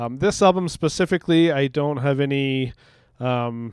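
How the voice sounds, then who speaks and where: A man with a Canadian accent, fairly high in pitch, in a normal speaking voice. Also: very clean recording, silent background. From Canada. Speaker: podcaster and musician. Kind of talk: casual chat.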